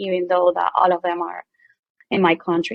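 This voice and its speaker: Speaking at a medium pitch, a woman talks with a Venezuelan accent. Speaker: medical equipment company owner. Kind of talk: casual chat.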